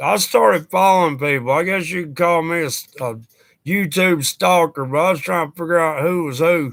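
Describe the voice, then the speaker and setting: A man with a fairly high pitch speaks at a moderate pace, with ordinary pitch variation. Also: very clean recording, silent background. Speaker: YouTuber. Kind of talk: casual livestream chat. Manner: intense, sounds upset.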